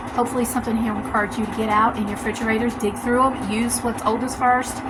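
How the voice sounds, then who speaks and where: A soft-spoken woman with a Southern US accent talks very fast at a fairly high pitch, her intonation monotone and flat. Noticeable background noise and audible room echo are present. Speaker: home cooking vlogger. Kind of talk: casual vlog tutorial. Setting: home kitchen. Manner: casual with many fillers.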